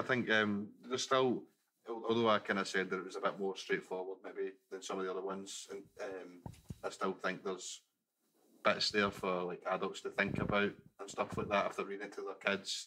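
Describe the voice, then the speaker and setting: A man speaks with a Glaswegian accent at a fairly quick pace, his fairly low voice flat and monotone over light background noise. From Scotland, Glasgow. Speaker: podcast co-host. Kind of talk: casual chat. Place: studio. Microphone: studio mic.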